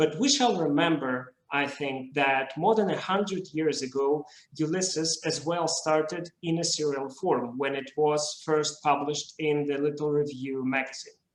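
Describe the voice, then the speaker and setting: A man with a Russian accent speaks in a fairly high voice. His intonation stays fairly even, with hardly any pauses. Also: moderate pace. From Russia, Moscow. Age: young. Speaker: literary video creator. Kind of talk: conference talk. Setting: video call.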